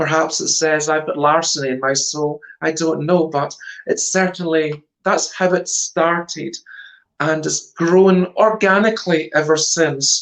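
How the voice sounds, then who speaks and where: With a Scottish accent, a woman speaks fairly slowly at a very deep, low pitch with fairly even intonation. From Scotland, Glasgow area. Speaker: stage psychic performer. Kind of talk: interview.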